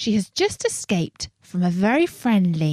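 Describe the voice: A quiet background under plain reading aloud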